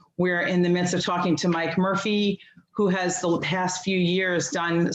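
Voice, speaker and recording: Audible room echo surrounds a woman's fairly low voice. Her intonation is flat and monotone. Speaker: PTSA representative. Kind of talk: public meeting report. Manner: fast; halting, many fillers.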